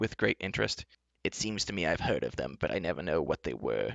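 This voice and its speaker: A man puts on a character voice at a fairly quick pace. His pitch is very deep and low. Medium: read story.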